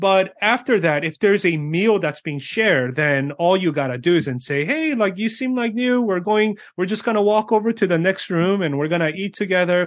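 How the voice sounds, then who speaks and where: A high-pitched man with an American accent and lively intonation, over a quiet background. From born in South Korea, raised in US. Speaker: pastor and author. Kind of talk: interview. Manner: filler-heavy, with frequent ums and uhs.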